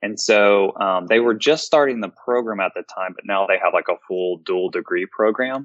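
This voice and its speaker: An ordinary speaking voice with an American accent moves at a moderate pace with ordinary pitch variation and hardly any pauses. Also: man, fairly low pitch for a man. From US South, Memphis, Tennessee. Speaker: informatics pharmacist. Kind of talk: interview.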